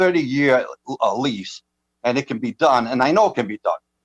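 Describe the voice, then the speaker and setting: The speaker has an American accent and talks at a fairly quick pace with very wide pitch swings, in a dry, close sound with no echo. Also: man. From Massachusetts, Dartmouth. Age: 80s+. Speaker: town meeting member, veteran. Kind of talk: public meeting debate.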